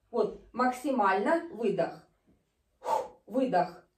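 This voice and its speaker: Very slow speech with very wide pitch swings is heard against a quiet background, with audible room echo. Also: woman. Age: 50s. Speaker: fitness video host. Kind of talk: exercise tutorial. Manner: animated. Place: home room. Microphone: camera far.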